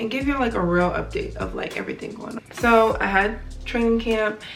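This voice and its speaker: Fairly quick speech carries audible room echo and noticeable background noise. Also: woman. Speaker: professional basketball player, vlogger. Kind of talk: casual vlog update. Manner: loud; conversational with many fillers.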